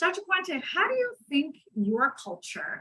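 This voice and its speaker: In an American accent, a woman talks at a moderate pace with a bright, sharp tone. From New York. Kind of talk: moderated panel discussion. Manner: hesitant with many fillers.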